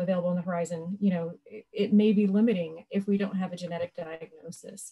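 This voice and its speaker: Over a quiet background, a woman speaks in a somewhat breathy voice with a dark, mellow tone and fairly even intonation. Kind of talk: panel discussion answer. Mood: earnest, grateful. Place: home room. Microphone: video call.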